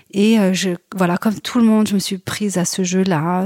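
With a dark, mellow tone and fairly even intonation, a woman talks at a fairly slow pace in a dry, close sound with no echo, the recording very clean and the background silent. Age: 40s. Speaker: novelist and screenwriter. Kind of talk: interview. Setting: home apartment. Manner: halting, many repetitions.

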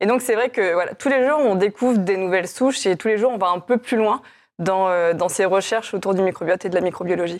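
Recorded very cleanly over a silent background, a woman with an ordinary speaking voice talks fairly quickly at a medium pitch with ordinary pitch variation. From France, Chinon (Indre-et-Loire). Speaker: company co-founder. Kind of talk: interview.

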